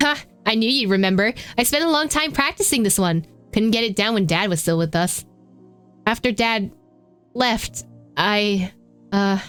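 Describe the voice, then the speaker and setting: Putting on a raspy character voice at a medium pitch, a woman talks at a moderate pace with lively intonation, very even loudness and long, frequent pauses while faint music plays in the background. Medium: machinima.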